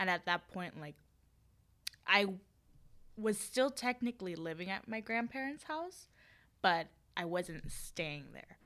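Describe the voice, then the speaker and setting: In a very clean recording with a silent background, a woman talks at a moderate pace with a bright, sharp tone. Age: 20s. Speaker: film line producer and podcast co-host. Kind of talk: casual chat.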